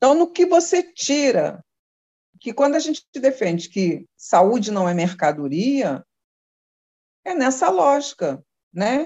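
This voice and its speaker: A high-pitched woman at a very slow pace, with long, frequent pauses and very wide pitch swings. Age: 60s. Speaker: social worker. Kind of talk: casual interview.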